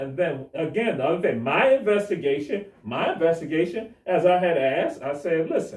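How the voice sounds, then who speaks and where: Loud and lively in intonation, a man speaks at a high pitch. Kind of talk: panel discussion on live stream. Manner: animated storytelling.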